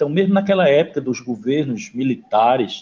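With a dark, mellow tone, a man talks using lively intonation. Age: 50s. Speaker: podcast host. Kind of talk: casual interview.

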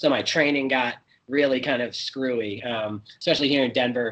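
A man with a plain, everyday voice, medium pitch, fairly even intonation and moderate pace. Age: 30s. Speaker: guest. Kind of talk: interview.

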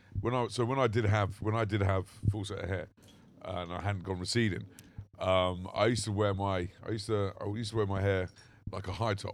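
On a very clean recording with a silent background, a man with a London accent speaks fairly quickly in a fairly low, monotone, flat voice. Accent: generic London English. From southern England. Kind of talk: casual chat. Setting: outdoors.

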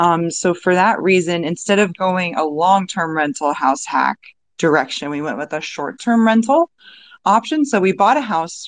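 Against a quiet background, a woman with a plain, everyday voice and a medium pitch talks at a moderate pace with lively intonation. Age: 30s. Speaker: podcast host. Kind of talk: casual discussion. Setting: online audio room.

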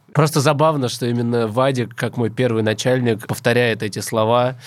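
There is total silence behind the man's medium-pitched voice on this very clean recording. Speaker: podcast host. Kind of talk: casual banter.

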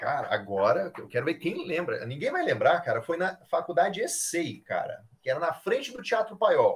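Speaking at a moderate pace, a man talks with hardly any pauses. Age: 30s. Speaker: airsoft player and photographer. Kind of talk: casual chat.

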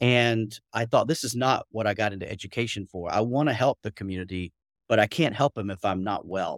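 In a Southern US accent, a man talks at a fairly quick pace. The sound is dry and close, with no echo. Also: medium pitch for a man, ordinary pitch variation. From US South, Atlanta. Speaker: curriculum coach. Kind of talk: casual interview chat. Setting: video call.

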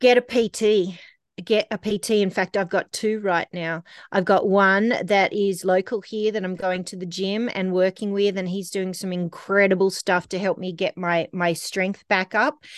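A woman with an Australian accent talks at a moderate pace with fairly even intonation, her voice dry and close with no echo against a quiet background. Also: medium pitch for a woman. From Australia, Canberra. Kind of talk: casual interview. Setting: remote call.

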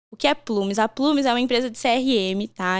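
A woman at a fairly high pitch and moderate pace, in a very clean recording with a silent background. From Rio Grande do Sul, Brazil (Encantado). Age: 20s. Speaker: HR professional. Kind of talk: podcast interview. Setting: studio. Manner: talkative, lively.

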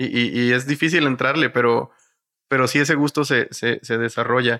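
In a bright, sharp tone, a man speaks at a medium pitch with fairly even intonation and very even loudness. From northern Mexico, Matamoros, Tamaulipas. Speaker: podcast co-host. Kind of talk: casual chat.

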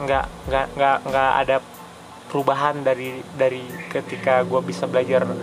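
Moderate pace with long, frequent pauses, very even loudness and fairly even intonation over music in the background. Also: man, medium pitch for a man. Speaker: solo podcaster. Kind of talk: casual monologue. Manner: halting, many fillers. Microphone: poor audio quality, noisy.

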